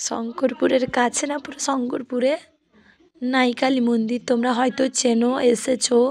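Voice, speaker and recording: Her loudness swinging widely, a woman speaks at a high pitch with monotone, flat intonation. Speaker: vlogger. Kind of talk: casual vlog narration. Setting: at a wedding venue.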